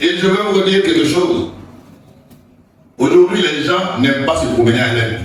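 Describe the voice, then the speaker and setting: A man's high voice with long, frequent pauses, audible room echo, and noticeable background noise. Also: lively intonation, moderate pace. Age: old. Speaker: pastor. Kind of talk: sermon.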